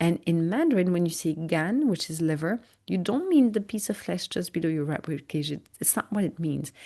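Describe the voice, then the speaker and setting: With a French accent, a woman speaks at a moderate pace against a quiet background. Her voice is fairly low in pitch, with a dark, mellow tone. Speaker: migraine educator and podcast host. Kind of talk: interview. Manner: many fillers and hesitations.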